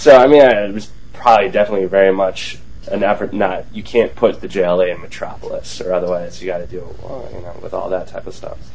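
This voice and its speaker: Amid noticeable background noise and audible room echo, a man talks at a fairly quick pace with big swings in loudness. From Wisconsin (Green Bay). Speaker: comics website contributor. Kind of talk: casual panel discussion.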